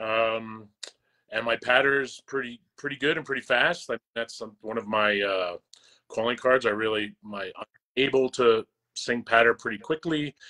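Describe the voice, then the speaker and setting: A man with an American accent speaks at a moderate pace in a medium pitch with ordinary pitch variation and a bright, sharp tone. The sound is dry and close with no echo, over a quiet background. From New York / New Jersey area, US. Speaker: opera singer. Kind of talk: casual interview chat.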